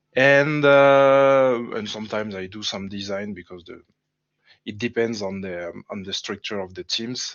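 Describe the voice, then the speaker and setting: A man speaks at a moderate pace with a strong French accent. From France. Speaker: game level designer. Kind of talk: casual livestream chat. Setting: livestream. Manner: halting, hesitant.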